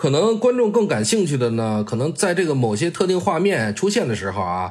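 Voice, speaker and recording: His pitch rises and falls very widely. The man's delivery is fairly quick. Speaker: football TV editor and voice-over narrator. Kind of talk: casual interview.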